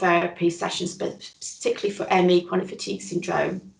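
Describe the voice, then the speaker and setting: A woman with a Northern English accent at a moderate pace. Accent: Northern British. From northern England. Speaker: chronic illness recovery interviewee. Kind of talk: interview, personal testimony.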